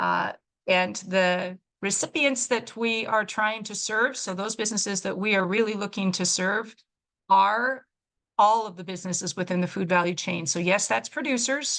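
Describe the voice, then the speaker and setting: A woman speaks in a normal speaking voice at medium pitch with ordinary pitch variation. Her pace is moderate over a quiet background. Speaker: regional development official. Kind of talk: webinar presentation.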